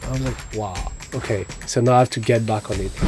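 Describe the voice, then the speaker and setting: A man talks at a fairly quick pace with a strong French accent. Music plays in the background. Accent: thick French. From France, Paris. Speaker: actor and model. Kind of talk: podcast interview.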